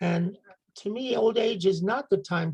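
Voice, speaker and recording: Somewhat breathy, this voice carries an American accent, ordinary pitch variation and a fairly slow pace. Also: woman. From United States. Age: 70s. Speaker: community member reader. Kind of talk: personal reflection talk.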